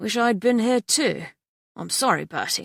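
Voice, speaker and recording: A put-on character voice, raspy and fairly high in pitch, at a moderate pace on a very clean recording with a silent background. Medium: read story. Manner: warm, easygoing.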